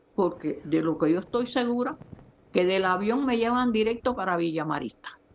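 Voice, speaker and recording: Over noticeable background noise, a woman speaks at a medium pitch and a moderate pace with lively intonation and very even loudness. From Cuba. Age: 70s. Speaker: political activist. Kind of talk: testimony.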